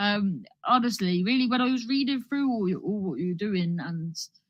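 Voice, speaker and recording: A somewhat breathy woman with a Cornish accent, lively intonation and a moderate pace. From Cornwall, England. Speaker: comedian. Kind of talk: stand-up. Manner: rambling, halting with many false starts.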